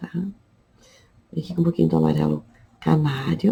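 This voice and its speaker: A woman speaks in a dark, mellow tone. Her voice is somewhat breathy, with fairly even intonation. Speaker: fabric painting teacher. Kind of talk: tutorial. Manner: casual.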